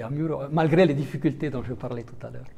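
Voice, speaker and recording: With an Italian accent, the voice has a dark, mellow tone, is somewhat breathy and keeps a fairly even intonation. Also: man. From Italian-speaking Switzerland. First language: Italian (speaking French). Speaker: diplomat. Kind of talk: interview. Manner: halting, many hesitations.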